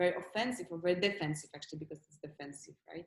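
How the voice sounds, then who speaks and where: A woman with a Polish accent speaks at a fairly low pitch, using ordinary pitch variation. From Poland, Warsaw. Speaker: actress. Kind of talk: interview. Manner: halting.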